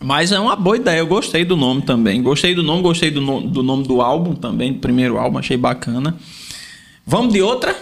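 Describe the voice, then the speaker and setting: Speaking at a fairly quick pace, a man with a fairly high pitch and vocal fry moves through very wide pitch swings while keeping very even loudness. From Paraíba, Brazil. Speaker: podcast host and Portuguese teacher. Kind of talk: casual interview chat. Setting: small studio.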